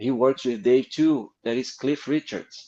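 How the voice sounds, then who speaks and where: A man's medium-pitched voice with a Brazilian Portuguese accent, a moderate pace and fairly even intonation. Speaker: comic book artist. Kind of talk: interview storytelling. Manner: halting.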